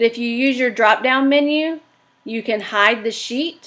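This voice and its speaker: A woman speaks with a bright, sharp tone and ordinary pitch variation. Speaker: teacher presenter. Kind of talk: tutorial. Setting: livestream webinar.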